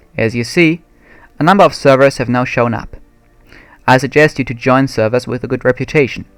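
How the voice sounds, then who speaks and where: With music playing behind him, a man speaks fairly quickly at a medium pitch, using ordinary pitch variation and long, frequent pauses. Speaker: video game tutorial maker. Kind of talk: tutorial. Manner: formal.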